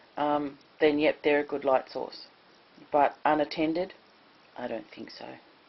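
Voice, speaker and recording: Speaking with an Australian accent, a woman with a very deep, low pitch keeps a fairly slow pace and monotone, flat intonation. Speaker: prepper. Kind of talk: casual talk to camera.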